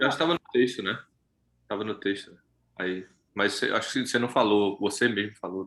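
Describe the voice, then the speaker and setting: A man with a Recife accent speaks at a fairly quick pace in a fairly low pitch, with ordinary pitch variation. He takes long, frequent pauses. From Brazil, Recife. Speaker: study group participant. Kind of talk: casual chat.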